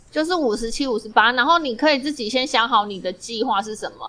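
Noticeable background noise runs under a woman's voice. She speaks at a high pitch with lively intonation. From Taiwan. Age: middle-aged. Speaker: podcast co-host. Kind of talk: casual chat.

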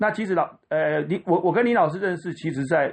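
With lively intonation and a normal speaking voice, a man keeps to a moderate pace. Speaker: violinist and violin teacher. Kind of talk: interview.

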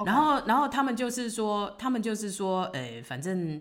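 Vocal fry runs through this woman's voice. She talks at a fairly slow pace. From Taiwan. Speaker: retired restaurant owner living abroad. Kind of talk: casual interview.

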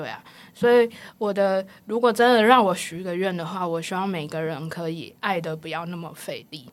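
Her voice sits at a medium pitch for a woman, with ordinary pitch variation and a moderate pace. Loudness swings widely throughout. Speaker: counselling psychologist. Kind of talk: interview conversation. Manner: laughs a lot; animated.

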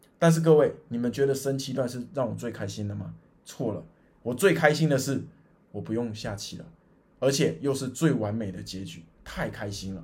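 Animated and lively in intonation, the speaker has vocal fry, a moderate pace and audible room echo. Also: man, medium pitch for a man. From Taiwan, Chiayi. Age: 30s. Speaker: podcast host, amateur go player. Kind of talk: personal storytelling monologue.

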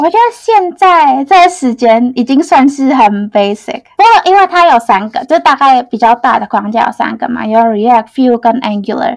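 Lively intonation marks this speech, delivered at a moderate pace. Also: woman. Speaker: front-end engineer. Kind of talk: interview. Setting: studio.

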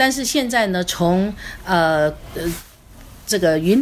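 The speaker moves at a very slow pace while the intonation stays lively. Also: woman. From Taiwan, Kaohsiung. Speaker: tourism business owner. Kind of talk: casual chat. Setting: studio. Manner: halting.

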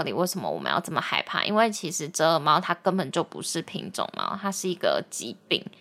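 A woman's medium-pitched voice with vocal fry and a bright, sharp tone, fairly quick pace, very clean recording and silent background. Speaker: podcast host. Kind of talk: casual chat.

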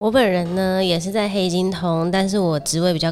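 A woman speaks with a Taiwanese accent at a fairly slow pace. Her pitch is fairly low, with fairly even intonation. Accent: Taiwanese Mandarin. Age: 20s. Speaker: podcast co-host. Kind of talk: casual chat. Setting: home-built studio.

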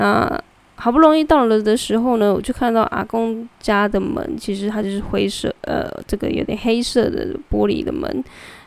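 A woman's fairly high voice with lively intonation, at a moderate pace with hardly any pauses. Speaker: podcast host and volunteer delivering meals to elderly. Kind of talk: casual solo monologue. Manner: many filler words and verbal tics.

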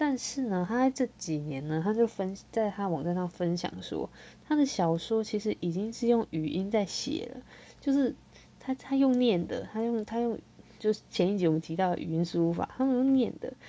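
A woman with a fairly high pitch uses lively intonation and keeps a moderate pace. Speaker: podcast host and light novel writer. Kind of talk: casual solo podcast chat. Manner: halting, many repeated words.

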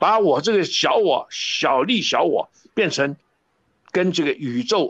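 A man speaks at a high pitch with very wide pitch swings. The sound is dry and close, with no echo. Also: quiet background. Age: 70s. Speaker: professor. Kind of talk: interview.

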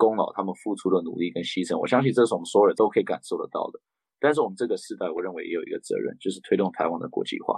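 A man rattles along at a very fast pace, the sound dry and close with no echo. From raised abroad: Japan, Beijing, Canada. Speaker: political candidate, former interpreter. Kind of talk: interview.

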